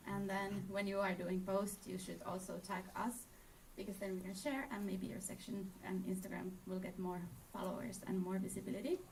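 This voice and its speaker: A woman speaks at a moderate pace with monotone, flat intonation. Audible room echo and noticeable background noise surround her voice. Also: medium pitch for a woman. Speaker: presenter for a travel partner. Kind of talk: conference presentation.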